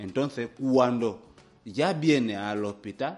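This man's voice sits at a medium pitch and shifts in pitch in an ordinary way. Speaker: hospital director. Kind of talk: radio interview. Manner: halting.

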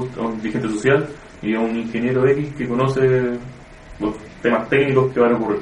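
Over music in the background, a man with a Chilean accent speaks at a moderate pace and medium pitch in a monotone, flat intonation. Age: 20s. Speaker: student. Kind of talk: focus group discussion.

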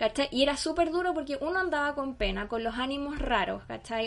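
A woman speaks with ordinary pitch variation. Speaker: podcast co-host and school teacher. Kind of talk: casual chat.

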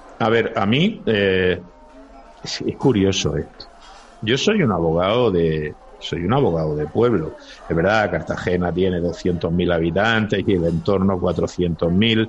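Against noticeable background noise, a man with a very deep, low pitch speaks at a fairly slow pace with ordinary pitch variation. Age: 50s. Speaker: lawyer. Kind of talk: casual chat.

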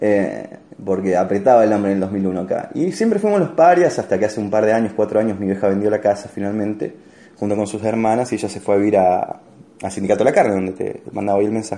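Speaking at a very fast pace, a man with an Argentine accent has a fairly low pitch. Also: ordinary pitch variation. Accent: Rioplatense Argentine Spanish. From Argentina, Rosario. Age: 30s. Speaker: stand-up comedian. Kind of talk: casual chat.

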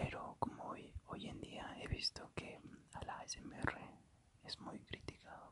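Whispering at a very slow pace, a man is heard over noticeable background noise. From Ecuador. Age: 20s. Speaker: ASMR podcaster and student. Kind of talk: casual monologue. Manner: halting.

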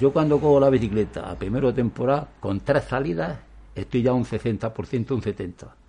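A man's dark, mellow voice with vocal fry, ordinary pitch variation and a moderate pace. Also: medium pitch for a man. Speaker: former pro cyclist and cycling federation official. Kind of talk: interview. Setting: outdoors on the street. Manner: halting.

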